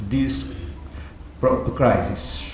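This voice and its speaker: A man is speaking, with audible room echo. Noticeable background noise is present. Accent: non-native. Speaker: theology professor. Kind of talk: keynote lecture. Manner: halting.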